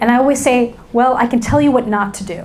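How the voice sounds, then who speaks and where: A woman with a New York accent talks at a moderate pace in a fairly high pitch with ordinary pitch variation, amid audible room echo and noticeable background noise. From New York City. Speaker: business school lecturer and keynote speaker. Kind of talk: keynote talk. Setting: stage with audience. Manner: animated.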